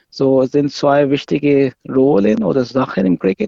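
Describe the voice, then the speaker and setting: His intonation rises and falls in a lively way. The man's pitch sits in a medium range. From Pakistan. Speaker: amateur cricket player and organiser. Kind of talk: interview explanation. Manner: halting, non-native phrasing.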